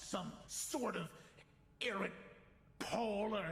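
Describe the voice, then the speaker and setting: Putting on a character voice, a man speaks at a high pitch and a very slow pace, with light background noise. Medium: actual play. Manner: defiant.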